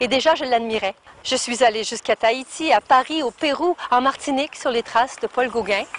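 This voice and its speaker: Heard dry and close with no echo over noticeable background noise, a woman speaks at a high pitch and moderate pace, with ordinary pitch variation. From Quebec. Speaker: storyteller. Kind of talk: interview answer.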